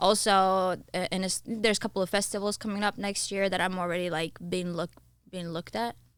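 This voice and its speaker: Someone talks at a very fast pace with ordinary pitch variation. The recording is very clean with a silent background. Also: woman, medium pitch for a woman. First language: not English (English is third language). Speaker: singer and recording artist. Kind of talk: casual interview chat. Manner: halting.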